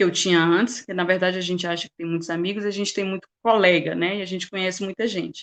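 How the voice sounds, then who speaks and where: A woman speaks at a medium pitch with fairly even intonation against a quiet background. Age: 40s. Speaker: motivational speaker. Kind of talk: testimony.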